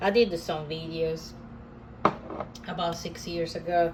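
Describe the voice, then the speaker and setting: At a very slow pace, a woman with a strong non-native accent speaks in a fairly low pitch over noticeable background noise. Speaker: comic artist. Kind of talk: tutorial. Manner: halting, many fillers.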